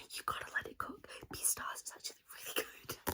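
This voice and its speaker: Someone whispers at a fairly quick pace. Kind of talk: ASMR manga recommendation, casual talk to camera. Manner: hesitant, stumbling reading of book blurbs.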